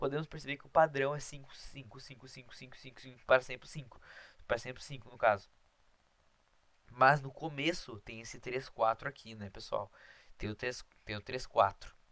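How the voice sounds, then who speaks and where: A man's medium-pitched voice, bright and sharp in tone, fairly even in intonation, with big swings in loudness. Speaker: math teacher. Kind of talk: lecture. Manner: fast.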